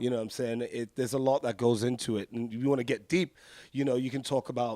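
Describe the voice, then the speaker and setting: A man's medium-pitched, dark, mellow voice, dry and close with no echo, on a very clean recording with a silent background. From UK (London area), born in America, Jamaican roots. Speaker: rock band vocalist. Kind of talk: backstage interview. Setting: backstage at a rock festival. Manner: animated.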